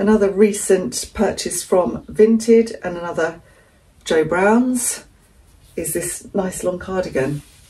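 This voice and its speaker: Speaking very slowly with lively intonation, a woman with an English accent has a medium-pitched, dark, mellow tone that is somewhat breathy. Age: 60s. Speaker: frugal living vlogger. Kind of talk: casual vlog talk. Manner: chatty, conversational.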